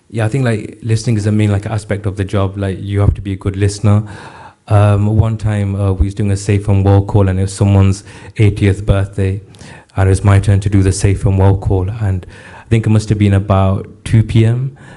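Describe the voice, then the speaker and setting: Somewhat breathy and dark, mellow in tone, a man's fairly low voice moves at a fairly quick pace with monotone, flat intonation. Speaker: mental health helpline advisor and rapper. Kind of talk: interview. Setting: studio. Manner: hesitant, many fillers.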